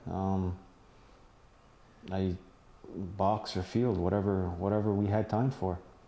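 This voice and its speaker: A man with an American accent speaks at a very deep, low pitch, his tone dark and mellow and his intonation monotone and flat. He keeps a fairly slow pace with long, frequent pauses and very even loudness. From Akwesasne, Mohawk territory on the Canada-US border. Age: 50s. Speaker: former lacrosse player. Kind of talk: interview. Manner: halting, many fillers.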